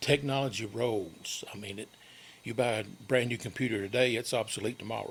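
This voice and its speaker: A man in a Tennessee accent, somewhat breathy, at a fairly quick pace with big swings in loudness. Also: medium pitch for a man, fairly even intonation. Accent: Tennessee Southern. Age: 60s. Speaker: local community guest. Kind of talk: radio interview. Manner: halting.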